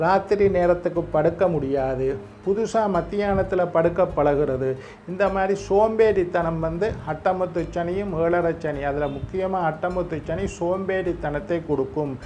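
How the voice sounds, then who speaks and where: Faint music plays in the background as a man with a high pitch speaks with ordinary pitch variation. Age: 50s. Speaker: astrologer. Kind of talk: horoscope talk. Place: studio.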